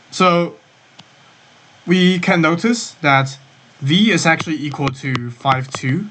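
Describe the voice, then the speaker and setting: Very slow speech with long, frequent pauses and ordinary pitch variation, over noticeable background noise. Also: man. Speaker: course tutor. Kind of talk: tutorial. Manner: self-correcting; halting.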